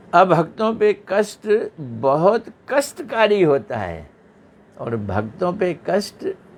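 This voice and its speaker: His pitch high, a man speaks with very wide pitch swings. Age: 70s. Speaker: religious teacher. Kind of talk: religious discourse.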